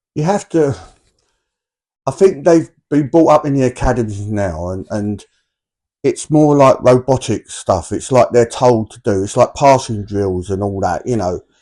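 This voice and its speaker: A man with a dark, mellow tone speaks at medium pitch and a moderate pace against a quiet background. His intonation is lively and his loudness swings widely. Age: 60s. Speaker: former footballer and football manager. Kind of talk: interview.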